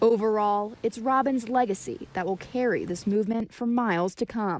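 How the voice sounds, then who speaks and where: She has an ordinary speaking voice, pitched fairly high for a woman. Her pace is moderate, and her pitch variation is ordinary. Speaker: TV news reporter. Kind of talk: TV news report narration.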